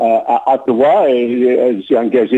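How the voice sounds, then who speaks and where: A man speaks with a medium-pitched voice and an English accent. His tone is dark and mellow. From Montreal, Quebec. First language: English (speaking French). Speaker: political candidate. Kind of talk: interview. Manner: halting.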